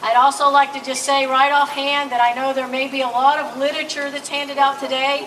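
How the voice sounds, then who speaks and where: Loud speech comes at a fairly quick pace with hardly any pauses, over noticeable background noise. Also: woman, high pitch for a woman. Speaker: rally emcee. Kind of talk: public address at rally. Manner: energetic.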